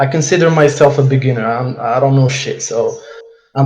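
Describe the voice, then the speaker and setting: A man talks at a fairly quick pace with fairly even intonation in a dark, mellow, somewhat breathy tone. Audible room echo surrounds his voice. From Morocco. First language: Arabic and French. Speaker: dropshipping entrepreneur. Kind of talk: case study presentation on a live call. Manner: halting, stumbling over words.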